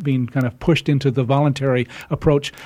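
A man's fairly high-pitched voice, a plain, everyday voice, at a fairly quick pace with fairly even intonation, on a very clean recording with a silent background. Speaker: community radio talk show host. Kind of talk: radio talk show. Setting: studio.

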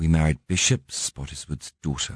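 The voice belongs to a man. Its pitch moves with ordinary variation. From Northern Ireland. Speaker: aristocratic castle owner. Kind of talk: interview. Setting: studio.

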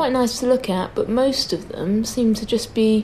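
A woman with a British accent over noticeable background noise. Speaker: podcast host. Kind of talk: casual chat.

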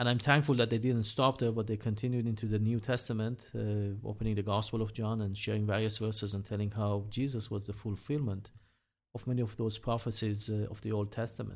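A man's fairly low voice, monotone and flat, at a fairly quick pace on a very clean recording with a silent background. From Iran. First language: not English (Hebrew/Persian). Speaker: missionary and church elder. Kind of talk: interview testimony. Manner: halting, many fillers.

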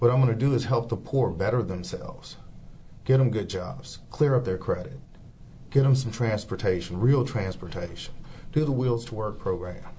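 Amid audible room echo, a man speaks in a somewhat breathy voice with a dark, mellow tone. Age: 50s. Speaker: city council candidate. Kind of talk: interview.

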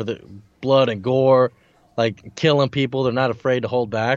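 Using a plain, everyday voice, a man speaks at a moderate pace with a medium pitch and fairly even intonation. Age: 20s. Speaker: podcast co-host. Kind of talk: casual chat. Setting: remote call over internet.

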